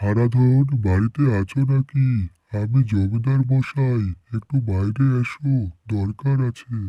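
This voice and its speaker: Using a cartoonish character voice, a man speaks at a medium pitch and a fairly slow pace with fairly even intonation. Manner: sly, ingratiating.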